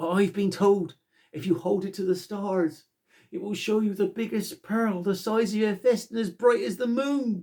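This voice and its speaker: A put-on character voice delivers the lines. Its pitch sits in the middle, and the pace is moderate. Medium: read story. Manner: earnest, polite.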